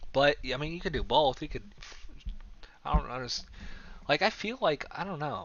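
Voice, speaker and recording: A fairly high-pitched man with vocal fry and lively intonation talks at a moderate pace, pausing long and often. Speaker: graphic designer streaming his work. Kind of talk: casual live stream chat while working. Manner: stutters sometimes; halting, many fillers.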